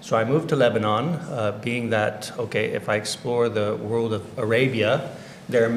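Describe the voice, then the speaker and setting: A Californian accent in a flat monotone at a moderate pace, with audible room echo and noticeable background noise. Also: man. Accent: Californian American. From US, Orange County, California. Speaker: education director. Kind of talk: interview. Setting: livestream.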